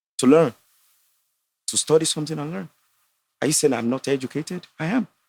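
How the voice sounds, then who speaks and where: Talking at a very fast pace in a Nigerian accent, a man uses a fairly high pitch with ordinary variation and big swings in loudness. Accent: Nigerian (Yoruba) English. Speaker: entrepreneur and astrologer. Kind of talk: casual debate on a podcast. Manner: animated.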